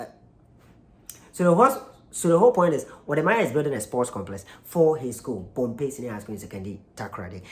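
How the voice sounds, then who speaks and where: Someone with a Ghanaian accent speaks at a very fast pace. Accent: Ghanaian (Kumasi) English, L and R sounds. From Ghana, Kumasi. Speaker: YouTube reaction channel host. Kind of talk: casual video commentary. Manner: halting, many fillers and restarts.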